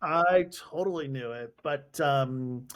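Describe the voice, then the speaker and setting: A man with an American accent, fairly high in pitch with ordinary pitch variation, in a very clean recording with a silent background. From US. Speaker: podcast host. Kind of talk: casual interview. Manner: animated.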